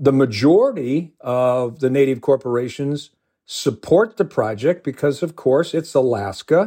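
A man with a medium pitch and a dark, mellow tone speaks at a fairly slow pace with lively intonation. The recording is very clean, with a silent background. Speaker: environmental policy expert. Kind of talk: interview.

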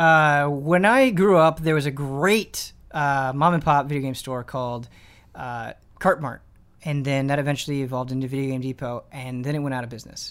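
In a very clean recording with a silent background, a man with a fairly high pitch and an ordinary speaking voice talks at a moderate pace, his loudness swinging widely and his pitch varying normally. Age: 20s. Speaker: video game podcast host. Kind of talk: casual chat.

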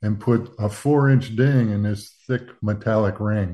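A man with a Southern US accent, fairly low pitch and a dark, mellow tone, at a moderate pace against a quiet background. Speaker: retired aerospace engineer. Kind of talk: radio interview. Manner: soft-spoken.

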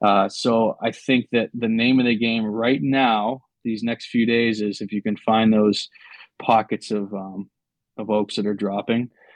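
Speaking at a fairly slow pace, a man uses a medium pitch and a monotone, flat intonation. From New Hampshire, New England. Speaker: hunter. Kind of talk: casual chat.

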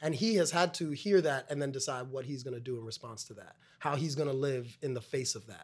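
A man with an American accent and a plain, everyday voice talks at a fairly quick pace and medium pitch, with ordinary pitch variation, big swings in loudness and hardly any pauses. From Brooklyn, New York (West Indian family). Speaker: stage actor. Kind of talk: casual chat.

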